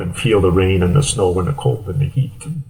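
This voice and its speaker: A man talks in a somewhat breathy voice. His pitch is fairly low, with ordinary variation. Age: 60s. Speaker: endurance athlete. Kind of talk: interview.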